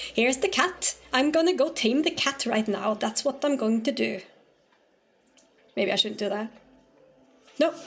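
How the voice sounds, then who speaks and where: This woman's voice is high, with a slight Norwegian accent and lively intonation. She keeps a moderate pace but leaves long, frequent pauses. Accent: slight Norwegian lilt. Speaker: streamer. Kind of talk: casual gaming stream chat. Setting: live stream. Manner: halting.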